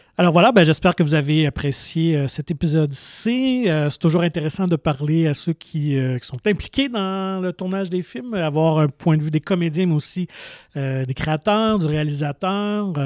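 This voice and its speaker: A man speaks with an unremarkable speaking voice, fairly high in pitch, with ordinary pitch variation. The recording is very clean and dry, with a silent background, close sound and no echo. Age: 40s. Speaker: podcast host. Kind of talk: interview.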